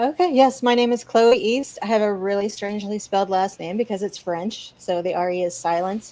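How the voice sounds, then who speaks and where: Her tone is dark and mellow. The woman speaks at a fairly quick pace. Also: medium pitch for a woman, ordinary pitch variation. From Louisiana. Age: 40s. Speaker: content creator. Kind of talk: casual chat. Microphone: internet connection cut out.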